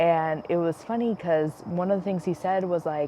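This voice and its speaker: A woman with an American accent speaks at a moderate pace in a fairly low pitch. She has an ordinary speaking voice with ordinary pitch variation. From United States, Spanish-speaking family. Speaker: podcast host. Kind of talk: casual chat. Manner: many filler words, um and like.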